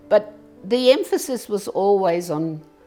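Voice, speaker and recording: Over music in the background, a woman talks with very wide pitch swings. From Serbia. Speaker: former local councillor. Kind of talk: life story interview. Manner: casual, conversational.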